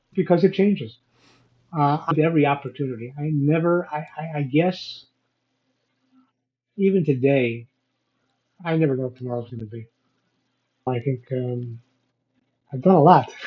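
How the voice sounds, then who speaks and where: A man with an American accent, fairly high-pitched and somewhat breathy, at a moderate pace with ordinary pitch variation, big swings in loudness, and long, frequent pauses. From Chicago, US Midwest. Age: 70s. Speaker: business owner and entrepreneur. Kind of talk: interview conversation.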